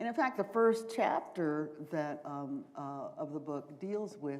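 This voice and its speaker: With an American accent, a woman speaks very slowly at a very deep, low pitch, her intonation lively. Room echo can be heard. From US South, Charleston, South Carolina. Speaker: professor and author. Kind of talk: Q&A after a lecture. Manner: hesitant, many fillers.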